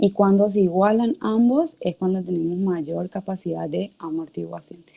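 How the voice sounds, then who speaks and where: A woman talks at a fairly slow pace, and the sound is dry and close with no echo. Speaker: teaching assistant. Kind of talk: online class lecture.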